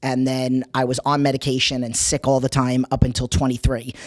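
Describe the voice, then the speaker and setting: A woman speaks at a very deep, low pitch with a New York accent. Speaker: personal trainer. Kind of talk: interview.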